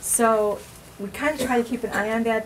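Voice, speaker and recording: Noticeable background noise sits behind a woman whose fairly high pitch carries fairly even intonation. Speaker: school nurse. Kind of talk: informational talk to parents.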